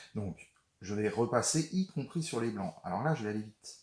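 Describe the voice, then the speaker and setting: Somewhat breathy and at a moderate pace, a man talks at a medium pitch with very wide pitch swings. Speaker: watercolor painting teacher. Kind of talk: tutorial. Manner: halting.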